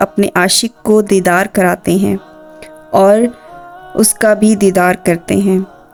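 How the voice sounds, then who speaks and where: A woman keeps her intonation fairly even while music plays behind her. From Pakistan. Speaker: voice over artist. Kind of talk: religious story narration.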